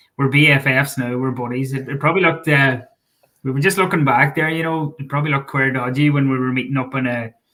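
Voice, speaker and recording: The speaker uses a bright, sharp tone at a very fast pace with fairly even intonation. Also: man. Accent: Donegal. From Ireland, Donegal (Killybegs area). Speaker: sports journalist and author. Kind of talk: casual chat.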